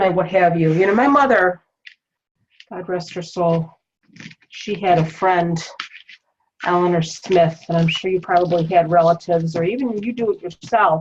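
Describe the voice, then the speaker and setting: The voice is somewhat breathy, with ordinary pitch variation. It moves at a moderate pace, broken by long, frequent pauses. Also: woman, fairly low pitch for a woman. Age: 50s. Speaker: wreath-making craft tutor. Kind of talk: craft tutorial with casual chat. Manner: chatty, conversational.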